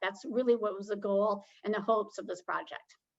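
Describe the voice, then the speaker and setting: A woman in an unremarkable speaking voice keeps a moderate speed, her fairly high pitch varying in an ordinary way. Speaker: public health presenter. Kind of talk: webinar presentation.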